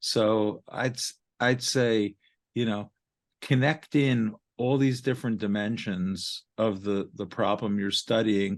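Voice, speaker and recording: A man with a Brooklyn accent, medium-pitched, very slow and fairly even in intonation, over a quiet background. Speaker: marketing and research consultant. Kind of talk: podcast interview.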